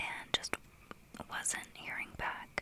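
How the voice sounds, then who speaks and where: A woman whispers at a fairly slow pace. Noticeable background noise is heard. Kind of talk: casual ASMR-style life update talk to camera. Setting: small closet used for audio. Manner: quiet, soft-spoken, candid.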